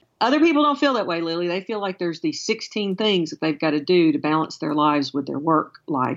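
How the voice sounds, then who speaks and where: The speech comes at a very fast pace with hardly any pauses. Very wide pitch swings run through it, in a slight Alabama accent. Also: woman, fairly low pitch for a woman. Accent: slight Southern US (Alabama). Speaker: education consultant. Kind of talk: interview.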